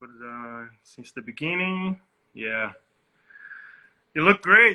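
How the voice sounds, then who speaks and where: In a Portuguese accent, the speaker goes at a very slow pace, with very wide pitch swings and big swings in loudness. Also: man, fairly high pitch for a man. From Northeast Brazil (Salvador, Bahia). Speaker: DJ. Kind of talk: interview.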